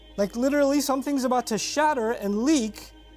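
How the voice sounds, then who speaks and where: A man's extremely high voice at a fairly slow pace with ordinary pitch variation, over music in the background. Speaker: Islamic lecturer. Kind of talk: religious sermon / lecture.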